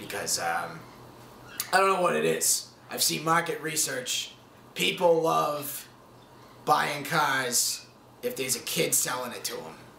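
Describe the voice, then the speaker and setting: Putting on a raspy character voice with a fairly high pitch, a man speaks at a fairly slow pace with long, frequent pauses amid clear background noise. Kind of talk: mockumentary interview comedy. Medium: comedy sketch. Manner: rambling, hesitant, mock-documentary confessional.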